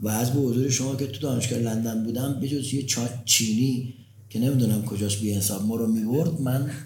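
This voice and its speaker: At a very fast pace, a man with a medium-pitched voice speaks amid audible room echo. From Tehran, Iran. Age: 60s. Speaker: pharmaceutical company founder and university professor. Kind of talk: interview. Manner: energetic.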